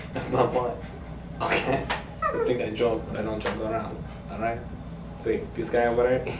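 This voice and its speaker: A man talks at a moderate pace as loud background noise fills the clip. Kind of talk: casual comedic skit talk. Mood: playful, hesitant fillers. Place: home room. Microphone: camera far.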